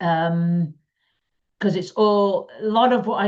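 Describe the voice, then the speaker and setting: This is a woman speaking. She has a northwest English accent. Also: quiet background. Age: 60s. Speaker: quilting teacher and community founder. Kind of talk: casual talk to camera. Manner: chatty, with frequent ums.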